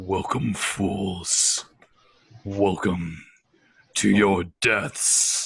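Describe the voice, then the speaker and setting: A man in a put-on character voice booms loud and growling at a fairly low pitch, moving at a very slow pace with long, frequent pauses. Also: fairly even intonation. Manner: menacing.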